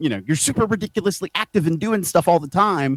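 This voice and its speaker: A man with a high pitch and lively intonation speaks at a very fast pace, the sound dry and close with no echo. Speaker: pro wrestler. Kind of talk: casual chat.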